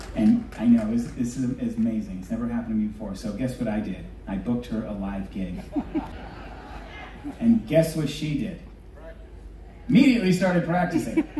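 Audible room echo and light background noise surround the recording. A man talks at a fairly quick pace. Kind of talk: stage banter with audience. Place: stage.

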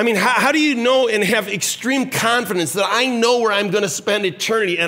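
A man speaks in a raised voice. He projects it outward. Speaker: senior pastor. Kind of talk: sermon. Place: church.

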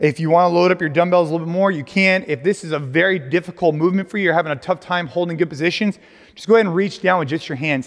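Against a quiet background, a man speaks at a very fast pace with a high pitch and ordinary pitch variation. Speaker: fitness coach. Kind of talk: workout instruction. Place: gym. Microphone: lapel.

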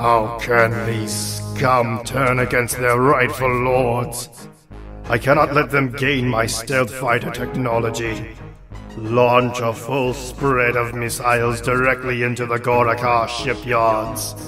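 Clear music plays in the background. Over it, a man in a put-on character voice of medium pitch speaks at a fairly slow pace. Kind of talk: video game redub. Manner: arrogant, ambitious.

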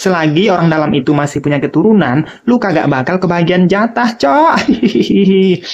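A woman talks at a moderate pace. Her voice sits fairly low, with lively intonation. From Minangkabau, West Sumatra. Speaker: stand-up comedian. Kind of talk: stand-up comedy. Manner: animated, punchy joke delivery with setup and punchline; casual slangy Jakarta-style speech, repeatedly addressing audience as 'cok'. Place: home room. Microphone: handheld.

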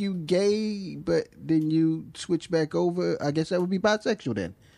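Pitched high, a man speaks at a fairly slow pace with ordinary pitch variation. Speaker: podcast co-host. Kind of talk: casual chat. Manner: animated.

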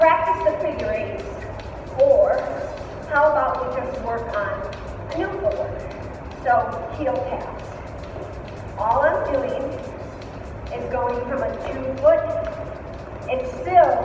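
A woman speaks at a very slow pace with long, frequent pauses and big swings in loudness. Music plays in the background amid strong room echo. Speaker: fitness instructor. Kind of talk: workout instruction. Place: gym. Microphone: camera far.

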